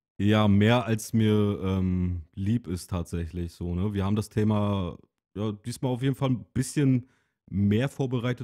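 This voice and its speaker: Speaking fairly slowly, a man with a normal speaking voice uses a fairly low pitch and ordinary pitch variation. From Rügen, northeastern Germany. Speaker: podcast co-host. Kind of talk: casual chat.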